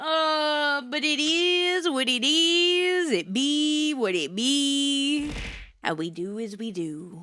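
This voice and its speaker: A woman's raised, projected voice, high and bright with a sharp tone, very slow, with very wide pitch swings and audible room echo. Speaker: vtuber streamer. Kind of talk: casual livestream chat. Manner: low energy.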